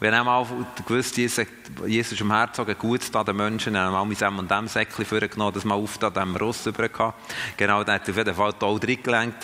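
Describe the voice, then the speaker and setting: Fairly low in pitch, a man talks at a fairly quick pace in a monotone, flat intonation. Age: 50s. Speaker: missionary and church trainer. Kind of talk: teaching talk to a group. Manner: halting, many fillers and restarts.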